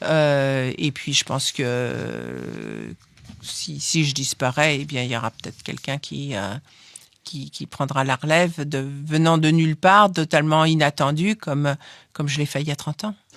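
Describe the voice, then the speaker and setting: Recorded dry and close with no echo, a woman speaks at a very deep, low pitch with ordinary pitch variation. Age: 70s. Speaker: foundation head, scientist's daughter. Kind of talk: interview. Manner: halting, many fillers and repeats.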